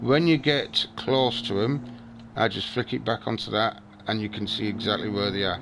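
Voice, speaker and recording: A man's voice, medium in pitch, is heard with music in the background. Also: ordinary pitch variation. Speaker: gaming streamer. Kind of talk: gameplay tutorial with friends. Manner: slow, deliberate explaining.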